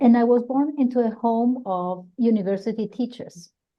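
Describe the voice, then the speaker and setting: A woman talks with a Colombian accent. Her pace is moderate and her pitch variation ordinary. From Colombia, Bogotá. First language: Spanish. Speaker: psychologist and career counselor. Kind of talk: interview. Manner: halting, with frequent repetitions.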